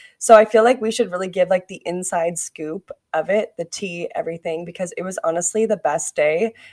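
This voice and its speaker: A woman's normal speaking voice at medium pitch, fairly quick, with hardly any pauses, ordinary pitch variation, and a dry, close sound with no echo. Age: 20s. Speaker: podcast co-host. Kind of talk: casual chat. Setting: studio.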